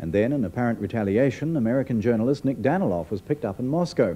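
At a very fast pace, a man with a medium pitch swings his pitch very widely. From New Zealand. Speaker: news presenter. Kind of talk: 1980s TV news narration, formal and measured, read as a year-in-review voiceover. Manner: formal, authoritative, steady and brisk. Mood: serious, measured. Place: studio.

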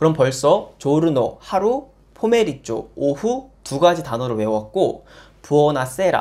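A man with a plain, everyday voice, fairly high in pitch, with lively intonation. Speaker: Italian language teacher. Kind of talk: casual language lesson to camera. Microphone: lapel.

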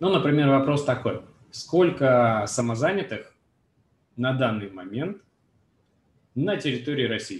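A man with a somewhat breathy, medium-pitched voice speaks at a fairly slow pace with lively intonation. Long, frequent pauses break up his speech, and room echo is audible. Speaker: webinar moderator. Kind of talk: webinar moderation. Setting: video call. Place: home room. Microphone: webcam.

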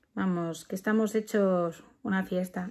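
Very slowly, a woman speaks with ordinary pitch variation and a dark, mellow tone. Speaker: parent vlogger. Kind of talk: casual vlog chat. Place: home room. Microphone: phone near.

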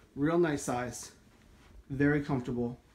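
Here a man is speaking. His intonation stays fairly even. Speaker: home tour narrator. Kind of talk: casual walkthrough commentary. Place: home room. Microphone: phone near.

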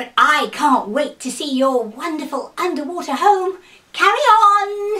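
Putting on a character voice, a woman projects it loudly at an extremely high pitch and a fairly slow pace. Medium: read story. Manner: brightly cheerful bluffing, then indignant.

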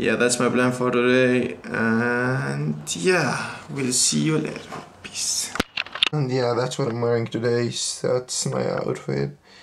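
A man at a very slow pace against noticeable background noise. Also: ordinary pitch variation. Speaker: vlogger. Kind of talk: casual vlog chat. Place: home room. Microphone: phone near.

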